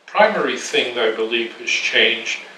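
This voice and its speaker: There is noticeable background noise as a man with an American accent speaks at a moderate pace. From New York. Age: 80s+. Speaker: art critic and historian. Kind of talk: interview answer. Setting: home apartment.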